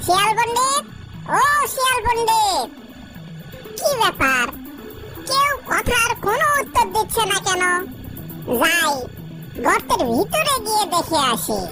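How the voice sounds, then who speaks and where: A cartoonish character voice talks at a fairly slow pace. Loud background noise is present. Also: woman, extremely high pitch for a woman. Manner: blustering, scheming.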